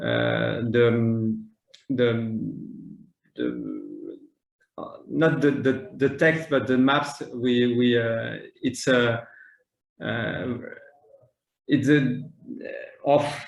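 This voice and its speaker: Amid audible room echo, a man with a French accent speaks at a very slow pace with long, frequent pauses. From France. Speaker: maritime planning official. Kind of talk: conference panel talk. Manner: halting, many fillers and repetitions.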